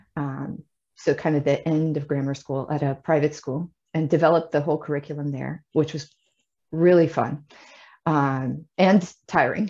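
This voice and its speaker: A woman's very deep, low voice, dark and mellow in tone, monotone and flat, at a moderate pace, with a Midwestern American accent against a quiet background. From US Midwest. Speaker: Chinese teacher. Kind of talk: interview, casual chat.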